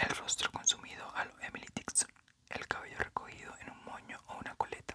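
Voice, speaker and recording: Soft-spoken whispering moves at a moderate pace against noticeable background noise. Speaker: book reader. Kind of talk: audiobook reading. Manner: soft whispered book reading.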